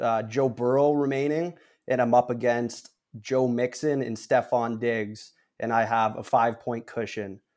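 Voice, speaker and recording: Here is a man with an unremarkable speaking voice at a medium pitch. He talks at a fairly slow pace with fairly even intonation. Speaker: guest, football fan and fantasy player. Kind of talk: casual banter about football and betting. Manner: confident, chatty with fillers.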